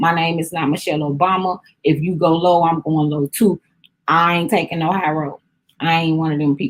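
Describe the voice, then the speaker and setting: Speaking at a fairly quick pace, a woman with a slight Southern US accent keeps a fairly low pitch and fairly even intonation. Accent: a little country. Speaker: vlogger / lifestyle talk host. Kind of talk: casual chat.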